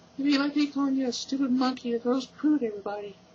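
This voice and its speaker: A man performs a put-on character voice at an extremely high pitch. He races along at a very fast pace. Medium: read story. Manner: bubbly, overeager.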